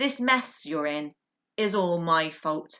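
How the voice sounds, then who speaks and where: Putting on a character voice, a woman talks at a fairly slow pace in a fairly low pitch. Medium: read story.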